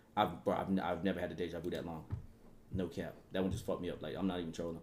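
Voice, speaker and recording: A man with a very deep, low voice talks at a very fast pace in a flat monotone. The room adds an audible echo. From Atlanta, US South. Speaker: streamer reacting to video. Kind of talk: livestream reaction commentary.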